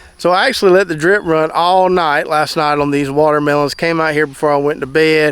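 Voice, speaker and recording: With a Southern US accent, a man talks at a fairly quick pace in a fairly high pitch, his intonation fairly even. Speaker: gardener. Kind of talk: casual talk to camera.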